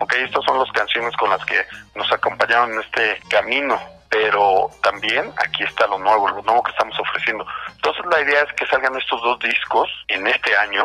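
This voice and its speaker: Male voice at a medium pitch and moderate pace with ordinary pitch variation, over noticeable background noise. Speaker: band singer. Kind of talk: interview.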